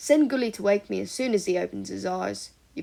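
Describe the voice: Plain reading aloud fills this recording.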